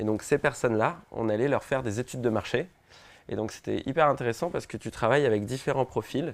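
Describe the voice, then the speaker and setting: A man at a fairly quick pace. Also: quiet background. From French Polynesia (Tahiti). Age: 20s. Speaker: social entrepreneur. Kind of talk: interview testimony. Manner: hesitant, many fillers and repetitions.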